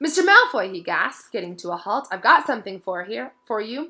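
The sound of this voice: An unforced reading voice carries the whole clip.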